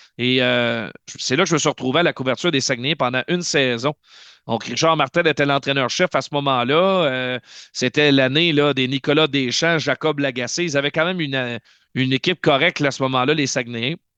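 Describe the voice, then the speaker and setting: In a bright, sharp tone, a man speaks at a fairly high pitch and a fairly quick pace with very even loudness, the sound dry and close with no echo over a quiet background. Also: fairly even intonation. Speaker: hockey play-by-play announcer. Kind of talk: interview, casual chat. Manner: fast.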